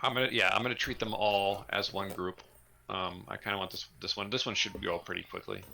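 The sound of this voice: Fairly even intonation comes through an unforced reading voice.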